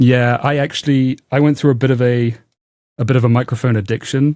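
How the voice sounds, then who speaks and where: A man's dark, mellow voice in a monotone, flat delivery, dry and close with no echo, on a very clean recording with a silent background. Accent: British. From UK. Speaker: software engineer and programming YouTuber. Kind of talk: casual podcast conversation.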